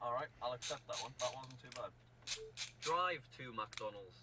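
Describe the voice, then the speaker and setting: A man with a northern English accent at a fairly quick pace. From northern England. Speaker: video presenter testing car voice commands. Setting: inside a car.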